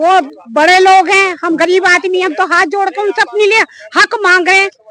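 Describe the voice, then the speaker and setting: Her voice raised and projected, a woman speaks at an extremely high pitch with ordinary pitch variation over noticeable background noise. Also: moderate pace. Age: 60s. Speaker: resident facing eviction. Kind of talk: street interview.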